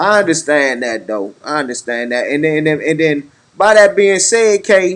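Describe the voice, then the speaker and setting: A loud man speaks at a moderate pace with lively intonation. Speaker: podcast host. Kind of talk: casual chat. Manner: halting.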